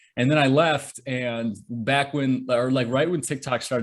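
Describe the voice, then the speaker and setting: A man speaks with a slight Michigan accent. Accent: light Michigan. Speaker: author and social media creator. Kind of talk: interview.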